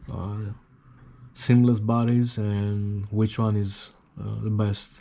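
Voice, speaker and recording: In a Greek accent, a man talks at a very slow pace with a fairly low pitch, a dark, mellow tone and fairly even intonation. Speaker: hobbyist YouTuber. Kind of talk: casual tutorial. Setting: at home. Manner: halting, many fillers.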